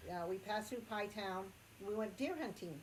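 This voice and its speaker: A woman speaks at medium pitch with ordinary pitch variation. Room echo is audible. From Acoma Pueblo, New Mexico. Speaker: storyteller recounting personal encounter. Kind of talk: personal story telling. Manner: hesitant, many fillers.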